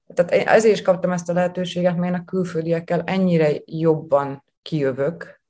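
Speaking at a fairly slow pace, a woman has a dark, mellow tone and a fairly low pitch. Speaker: chef. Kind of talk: interview. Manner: animated.

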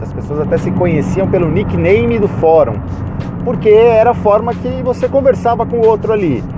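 With music in the background and audible room echo, a man speaks at a moderate pace, his pitch swinging very widely. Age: 30s. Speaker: podcast host, automotive journalist. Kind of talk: casual monologue. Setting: in a car.

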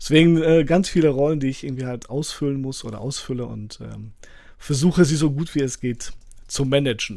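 Speaking at a fairly quick pace, a man with a fairly high pitch and a dark, mellow tone shows ordinary pitch variation and big swings in loudness. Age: 40s. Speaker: author and teacher. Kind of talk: podcast interview.

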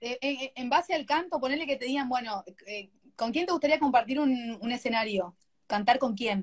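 Her pitch is high, with ordinary variation, as this woman talks at a moderate pace. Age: 40s. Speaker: live stream host. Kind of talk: casual interview.

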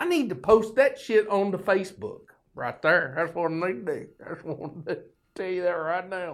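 A man with a Southern US accent, fairly quick delivery, very wide pitch swings and big jumps in loudness, on a very clean recording with a silent background. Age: 50s. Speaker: podcast host. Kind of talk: casual monologue. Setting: studio. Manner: folksy, rambling.

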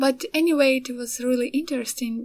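Her intonation fairly even, a woman speaks with a Ukrainian accent. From Ukraine. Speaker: artist and podcaster. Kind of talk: casual solo monologue. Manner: halting, many fillers.

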